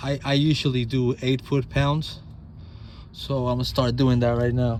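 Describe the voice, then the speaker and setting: A man speaks at a moderate pace. His medium-pitched voice has monotone, flat intonation. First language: not English. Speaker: DIY auto mechanic. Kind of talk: tutorial. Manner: halting, repeats words; casual.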